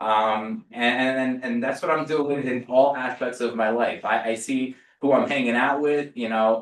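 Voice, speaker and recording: Here a man speaks with a New Jersey accent. His medium pitch shows ordinary variation. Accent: New Jersey American. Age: 40s. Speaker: real estate agent. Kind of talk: sales training talk. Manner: casual, repetitive stammering.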